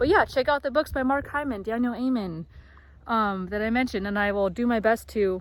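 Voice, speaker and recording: A woman speaks with a fairly high pitch. Her pace is moderate, with ordinary pitch variation. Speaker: vlogger sharing mental health story. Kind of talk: casual monologue vlog. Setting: outdoors on a walk. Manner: loud; animated.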